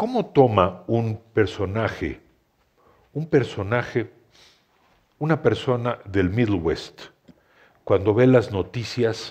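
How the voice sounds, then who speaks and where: A man with a Mexican accent talks at a fairly slow pace, somewhat breathy, with long, frequent pauses. The background is quiet. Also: ordinary pitch variation. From Mexico City. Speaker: historian and essayist, moderator; moderator. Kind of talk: panel discussion. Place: hall. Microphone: headset.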